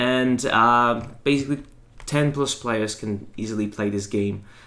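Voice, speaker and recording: Speaking fairly slowly with a French accent, a man uses a medium pitch, a bright, sharp tone and fairly even intonation. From France. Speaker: board game presenter. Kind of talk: tutorial. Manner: halting, many fillers.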